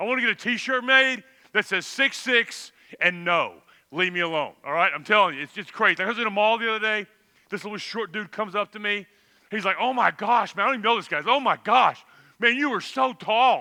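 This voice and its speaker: A man with a Texan accent speaks at a fairly quick pace in a high, raised, projected voice with a bright, sharp, animated tone. The recording is very clean, with a silent background. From Texas. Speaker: camp speaker. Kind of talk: youth talk to audience.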